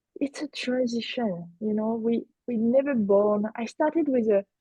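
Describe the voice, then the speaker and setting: A woman with a French accent talks at a fairly slow pace, her fairly high pitch held to a fairly even intonation. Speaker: business coach. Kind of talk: roundtable discussion.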